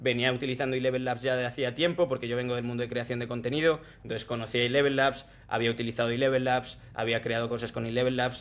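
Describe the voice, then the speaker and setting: The speaker is a man with a medium pitch. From Spain, Salamanca. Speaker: tech sales professional. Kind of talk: casual interview chat.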